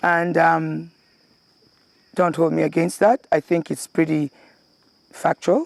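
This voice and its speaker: A woman with a Kenyan accent at a very slow pace, with long, frequent pauses and a dry, close sound with no echo. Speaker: former local councillor and charity worker. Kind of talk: interview answer.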